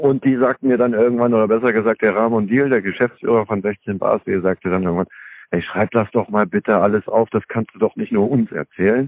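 At a fairly quick pace, a man speaks in a plain, everyday voice with a medium pitch. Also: fairly even intonation. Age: 40s. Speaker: former drug addict, author and rapper. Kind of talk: interview.

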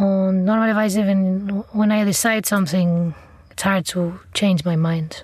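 At a fairly slow pace, a woman with a medium pitch speaks in a somewhat breathy voice with fairly even intonation. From Catalonia, Spain. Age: 30s. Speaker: chef. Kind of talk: interview. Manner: soft-spoken.

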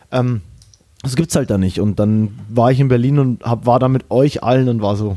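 Speaking at a fairly quick pace, a man with medium pitch uses ordinary pitch variation. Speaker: podcast host. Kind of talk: casual chat. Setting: remote, in his mother's office. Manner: fast, energetic.

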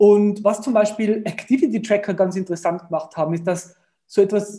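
This man's voice is high-pitched with a dark, mellow tone, and he keeps to a moderate speed. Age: 30s. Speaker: startup founder. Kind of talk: interview.

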